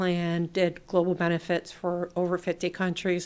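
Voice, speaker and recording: With an American accent, a woman talks at a moderate pace and a fairly low pitch. The recording is very clean, with a silent background. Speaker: local election candidate. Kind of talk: public meeting remarks. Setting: public meeting room.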